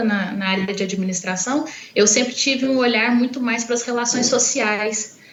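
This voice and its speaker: With audible room echo and noticeable background noise, a woman speaks at a fairly high pitch with ordinary pitch variation. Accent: Minas Gerais. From Minas Gerais, Brazil. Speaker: university professor. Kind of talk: interview.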